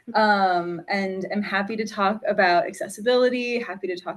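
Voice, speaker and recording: A woman talks in a normal speaking voice at a medium pitch and moderate pace, her intonation fairly even. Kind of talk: casual chat.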